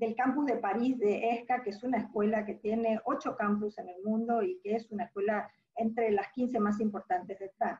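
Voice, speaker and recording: A woman speaks at a moderate pace with hardly any pauses. Her tone is dark and mellow, somewhat breathy, with ordinary pitch variation. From Argentina. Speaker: business school dean and entrepreneurship professor. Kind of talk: webinar talk. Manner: hesitant with fillers.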